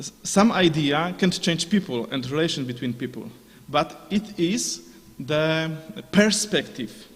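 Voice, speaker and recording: A man with a non-native accent talks at a fairly slow pace, his pitch fairly high and his intonation lively. Noticeable background noise runs under him. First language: Polish. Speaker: conference speaker. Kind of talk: conference Q&A answer. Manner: halting, many fillers.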